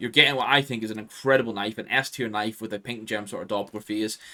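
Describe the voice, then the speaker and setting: His tone bright and sharp, a man rattles along at a very fast pace. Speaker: gaming YouTuber. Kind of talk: gaming video commentary. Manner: casual, filler-heavy.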